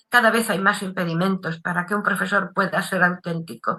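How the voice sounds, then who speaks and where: Her tone is bright and sharp, and this woman speaks at a medium pitch and a moderate pace with fairly even intonation. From Canary Islands, La Palma. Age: 80s+. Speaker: writer and former teacher. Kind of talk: interview. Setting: video call.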